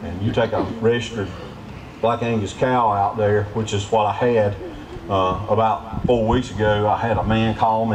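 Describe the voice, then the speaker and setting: Over noticeable background noise and audible room echo, a man with a fairly low pitch speaks at a moderate pace in a monotone, flat intonation. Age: 50s. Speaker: trapper. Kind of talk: live demonstration talk. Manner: casual, folksy.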